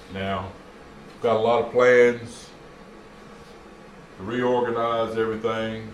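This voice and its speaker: Through noticeable background noise and audible room echo, a man with a medium pitch speaks at a very slow pace, leaving long, frequent pauses. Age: 60s. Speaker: retired hobbyist YouTuber. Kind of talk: casual vlog monologue. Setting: garage. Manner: hesitant, many fillers.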